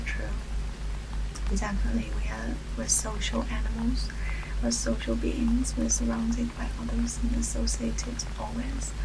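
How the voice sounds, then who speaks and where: Over noticeable background noise, a soft-spoken woman delivers her words in a whisper, fairly slowly. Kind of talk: casual talk to camera. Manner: whispered, soft-spoken.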